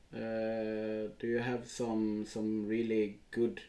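The voice has a dark, mellow tone and monotone, flat intonation, with a Swedish accent. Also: man. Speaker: podcast host. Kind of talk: casual interview.

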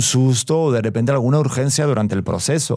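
A man's voice sits at medium pitch with a dark, mellow tone and ordinary pitch variation. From Spain, Madrid. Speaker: expecting father. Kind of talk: casual chat.

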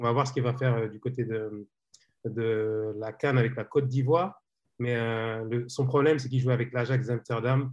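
A man at medium pitch and moderate pace, with fairly even intonation. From Senegalese heritage. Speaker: football journalist. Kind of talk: casual chat. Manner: halting.

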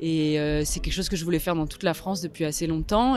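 Music plays in the background. Over it, a woman speaks at a fairly low pitch. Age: 30s. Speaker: photographer. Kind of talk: interview.

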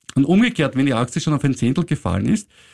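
A man's voice with very wide pitch swings, dry and close with no echo. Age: 50s. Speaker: finance podcast host. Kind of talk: casual chat.

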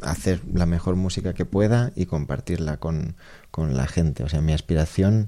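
Speaking at a moderate pace, a man with a very deep, low pitch has a dark, mellow tone and ordinary pitch variation. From Menorca, Spain. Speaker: jazz pianist. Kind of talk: interview. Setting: radio studio with audience.

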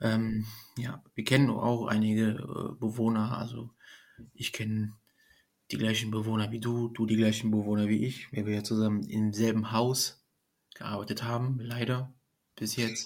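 Using monotone, flat intonation, a man talks with long, frequent pauses. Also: medium pitch for a man, fairly slow pace. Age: 30s. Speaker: nursing trainee. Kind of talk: casual chat.

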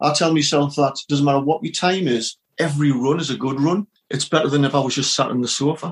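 Very fast and somewhat breathy, a man speaks at a fairly high pitch with fairly even intonation in a dry, close sound with no echo. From northeast England. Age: 50s. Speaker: retired police officer and military veteran. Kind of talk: casual interview.

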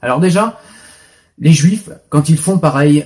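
A somewhat breathy man at a moderate pace. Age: 40s. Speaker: video blogger. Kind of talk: opinion commentary monologue.

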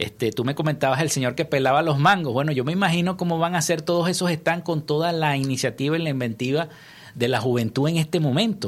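A man talks at a very fast pace in a fairly high pitch. His loudness stays very even, and his pitch varies in an ordinary way. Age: 50s. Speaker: radio news host. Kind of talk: news reading; radio interview. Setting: radio studio.

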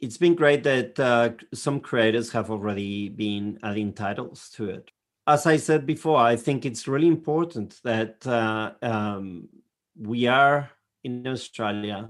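A man with a European accent speaks at a fairly slow pace in a medium pitch, with ordinary pitch variation and a quiet background. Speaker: librarian. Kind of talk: casual chat. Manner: halting.

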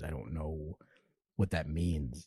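Against a quiet background, a man talks with vocal fry. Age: 30s. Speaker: novelist. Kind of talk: casual chat.

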